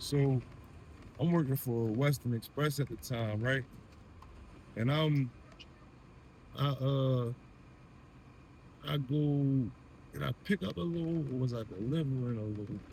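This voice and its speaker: A man's somewhat breathy, medium-pitched voice with an American accent, a fairly slow pace, ordinary pitch variation and long, frequent pauses. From Delaware and Baltimore, US Mid-Atlantic. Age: 30s. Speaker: truck driver. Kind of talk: storytime monologue. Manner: casual, rambling with repetitions.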